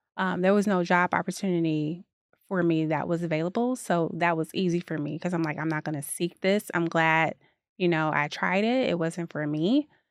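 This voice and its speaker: Against a quiet background, a woman with a Chicago accent talks at a moderate pace in a fairly low pitch with ordinary pitch variation, the sound dry and close with no echo. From Chicago, US Midwest. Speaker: dance fitness founder, advertising professional. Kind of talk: podcast interview. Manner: casual, conversational.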